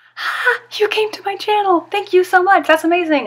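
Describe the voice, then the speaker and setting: Noticeable noise hums behind a woman as she talks. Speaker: YouTuber. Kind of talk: casual talk to camera. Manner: whispered.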